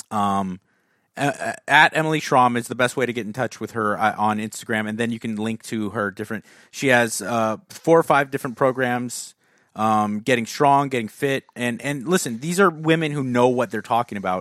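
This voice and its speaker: A man with a plain, everyday voice speaks at medium pitch and a moderate pace with ordinary pitch variation, in a dry, close sound with no echo. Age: 30s. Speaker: fitness podcast host, former bodybuilder. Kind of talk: casual chat and Q and A.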